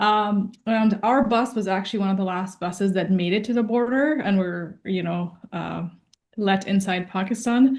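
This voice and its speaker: A normal speaking voice with ordinary pitch variation proceeds at a middling speed. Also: woman, medium pitch for a woman. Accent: Canadian. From Afghanistan, raised in Canada from childhood. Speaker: entrepreneur. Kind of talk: interview.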